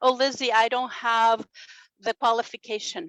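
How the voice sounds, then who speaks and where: The woman's voice comes across dry and close, with no echo. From Brazil. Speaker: radio and television host. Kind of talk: motivational talk. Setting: home studio, online summit. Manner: animated.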